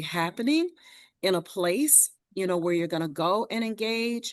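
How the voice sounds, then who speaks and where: A normal speaking voice from a woman at medium pitch, lively intonation and a fairly slow pace in a quiet background. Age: 60s. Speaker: community organization leader. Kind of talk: panel discussion response.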